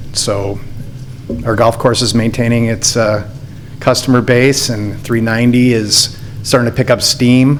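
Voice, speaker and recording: Long, frequent pauses break up a man's speech. His intonation is monotone and flat, with noticeable background noise behind him. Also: medium pitch for a man. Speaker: applicant at public hearing, golf course operator. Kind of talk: public hearing testimony. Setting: municipal meeting room with podium microphone.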